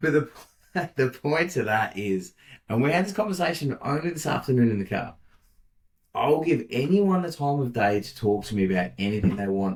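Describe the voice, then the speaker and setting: Loud and at a moderate pace, a man with an Australian accent speaks at medium pitch with very wide pitch swings. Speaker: podcast co-host. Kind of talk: casual chat. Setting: office.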